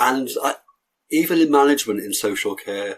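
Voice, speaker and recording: Ordinary pitch variation comes with a moderate pace of speech. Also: man. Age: 60s. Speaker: coach and former social care worker. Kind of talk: interview. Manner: halting.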